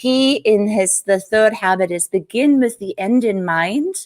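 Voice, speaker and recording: A woman with a German accent and ordinary pitch variation, in a dry, close sound with no echo. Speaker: business coach, entrepreneur. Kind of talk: interview on live stream.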